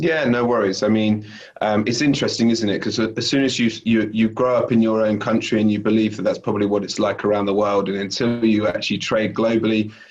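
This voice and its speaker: At a fairly quick pace, a man with a British accent talks in a fairly low pitch with fairly even intonation. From UK. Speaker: sales director. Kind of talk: interview. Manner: hesitant, many fillers.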